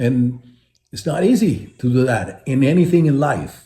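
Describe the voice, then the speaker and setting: The voice moves at a fairly slow pace, somewhat breathy, with a dark, mellow tone and lively intonation. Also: man. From Puerto Rico. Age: 70s. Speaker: retired baseball player. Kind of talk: interview. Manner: animated.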